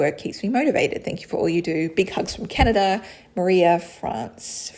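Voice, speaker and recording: At a fairly quick pace, a woman with an Australian accent speaks at a medium pitch, somewhat breathy, with ordinary pitch variation. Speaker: creator answering a viewer's question.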